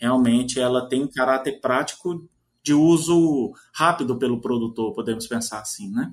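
Lively intonation marks this man's normal speaking voice, which sits at a medium pitch and moves at a moderate pace. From Minas Gerais, Brazil. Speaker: agronomy professor and journal editor. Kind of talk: interview.

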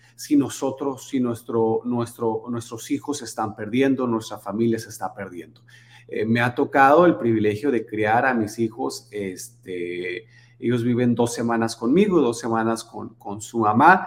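Using a normal speaking voice, a man talks at a fairly slow pace with a medium pitch and ordinary pitch variation. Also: big swings in loudness. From Sonora, Mexico. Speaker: charity foundation founder. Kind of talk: casual interview. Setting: home office.

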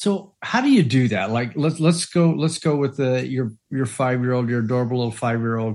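Over a quiet background, a normal speaking voice moves at a moderate pace with ordinary pitch variation. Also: man, medium pitch for a man. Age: 50s. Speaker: parenting podcast co-host and life coach. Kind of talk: casual chat.

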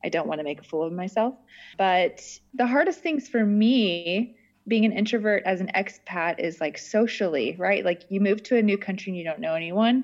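A normal speaking voice from a woman, medium in pitch with ordinary pitch variation, at a moderate pace over a quiet background. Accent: American. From US (Texas, Florida, Arizona). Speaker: podcaster. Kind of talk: casual chat.

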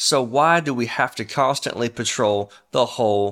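Over a very clean recording with a silent background, a man with a Mississippi accent speaks in an animated tone at medium pitch. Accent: US Southern (Mississippi). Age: 40s. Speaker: podcast host. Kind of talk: casual monologue; religious exhortation.

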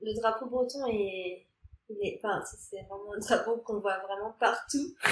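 Fairly even in intonation, a woman with a fairly high pitch talks at a fairly slow pace in a normal speaking voice. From Normandy, France. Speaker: podcast guest. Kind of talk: casual interview. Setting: in person.

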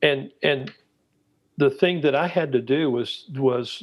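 A man speaks with a Texan accent at a very slow pace. His pitch is fairly high, with ordinary variation. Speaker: missionary and disciple-making trainer. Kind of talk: interview, storytelling.

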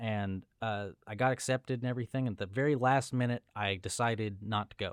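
At a fairly quick pace with hardly any pauses, a man uses an ordinary speaking voice of medium pitch and fairly even intonation, in a very clean recording with a silent background and a dry, close sound with no echo. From Southern California, Los Angeles. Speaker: film colorist. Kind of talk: casual chat.

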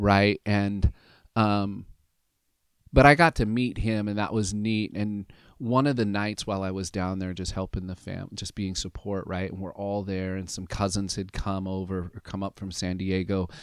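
On a very clean recording with a silent background, a man with an American accent uses an ordinary speaking voice at a fairly low pitch, speaking at a moderate pace with fairly even intonation and big swings in loudness. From US West Coast, Southern Oregon. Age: 50s. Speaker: pastor. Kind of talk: casual interview, personal testimony. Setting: studio, sitting across from host.

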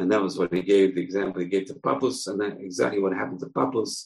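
A man speaks fast in a low pitch with ordinary pitch variation. There is vocal fry and a slightly husky edge.

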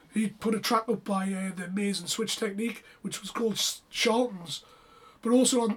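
With a British accent, the speaker keeps a moderate speed. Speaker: rave podcast co-host. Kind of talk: casual chat.

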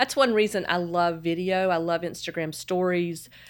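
This woman has a Southern US accent and fairly even intonation at a fairly slow pace. The recording is very clean, with a silent background. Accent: Southern American. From US South, Charlotte, North Carolina. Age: 50s. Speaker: fashion blogger and podcaster. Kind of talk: casual interview chat.

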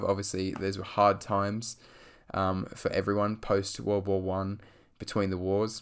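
A fairly low-pitched man with an Australian accent at a moderate pace, on a very clean recording with a silent background. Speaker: podcast host, film reviewer. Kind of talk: solo podcast monologue. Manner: hesitant, many fillers.

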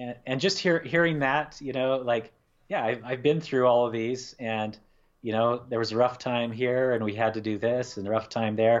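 A man with an American accent speaks at a medium pitch, his pitch varying in an ordinary way. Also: moderate pace. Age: 40s. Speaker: painter. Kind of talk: casual chat. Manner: halting.

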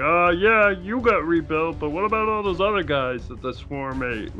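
Over clear background noise, a man puts on a nasal character voice pitched high, keeping a moderate pace. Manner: cartoonish.

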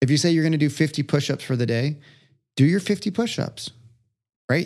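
In an ordinary speaking voice, a man talks fairly quickly at a fairly high pitch. The background is quiet. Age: 30s. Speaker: entrepreneur and coach. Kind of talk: casual chat.

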